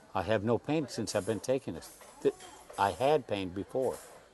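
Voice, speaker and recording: Music plays in the background as a man with an American accent speaks at a medium pitch with lively intonation. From US Midwest (Indiana, Michigan, Ohio). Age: 80s+. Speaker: cancer patient interviewee. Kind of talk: interview. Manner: halting.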